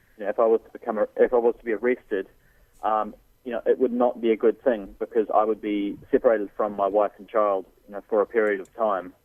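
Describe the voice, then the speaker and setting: With a New Zealand accent, a man speaks very fast at a fairly low pitch in a monotone, flat intonation. His loudness swings a lot. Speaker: pro-life activist. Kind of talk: radio interview.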